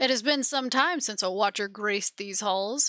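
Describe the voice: A growling put-on character voice from a woman, fairly high in pitch. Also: moderate pace.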